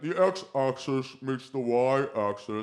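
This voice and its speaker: Using a put-on character voice at medium pitch, a man speaks at a very slow pace. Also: ordinary pitch variation. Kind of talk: classroom math lecture. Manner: lisping.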